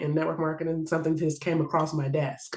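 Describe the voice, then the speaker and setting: A woman with an American accent speaks at a very deep, low pitch. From Washington DC. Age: 30s. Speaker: insurance agent. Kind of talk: interview. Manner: fast.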